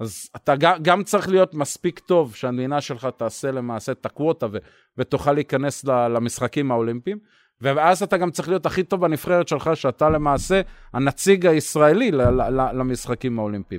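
On a very clean recording with a silent background and a dry, close sound with no echo, a man speaks at a moderate pace in a fairly high voice with lively intonation. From Israel, Bat Yam. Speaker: former Olympic sailor. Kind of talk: interview. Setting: outdoors in home yard.

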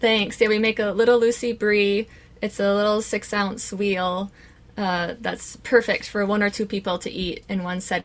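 An Upper Midwest accent at a moderate pace, in a monotone, flat intonation. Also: woman, medium pitch for a woman. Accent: Upper Midwest (Minnesota). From central Minnesota. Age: young. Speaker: cheesemaker. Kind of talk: interview.

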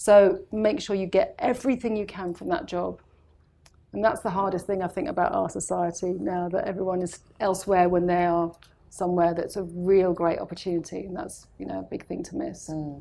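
Speaking fairly quickly with a British accent, a woman has a medium pitch, a dark, mellow tone and ordinary pitch variation. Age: 40s. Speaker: makeup artist. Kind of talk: casual chat.

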